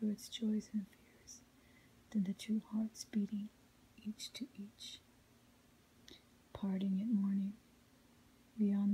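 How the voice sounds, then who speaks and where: A soft-spoken voice whispers at a fairly slow pace. Light background noise sits behind it. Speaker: ASMR reader. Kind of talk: whispered ASMR poetry reading. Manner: quiet, melodic, soft; whispered. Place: home room.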